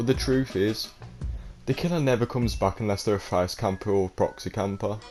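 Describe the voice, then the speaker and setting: A man speaking over music in the background, with ordinary pitch variation. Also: fairly low pitch for a man, fairly quick pace. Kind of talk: gaming tips talk to camera. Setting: low-quality home mic. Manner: casual.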